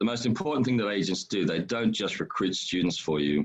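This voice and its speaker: This man speaks with an Australian accent. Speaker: education agency founder. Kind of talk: webinar presentation. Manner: fast.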